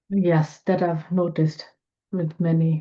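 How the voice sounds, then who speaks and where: A woman speaks with a non-native accent. Her fairly low voice stays monotone and flat. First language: not English. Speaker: homeopath. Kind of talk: webinar Q&A.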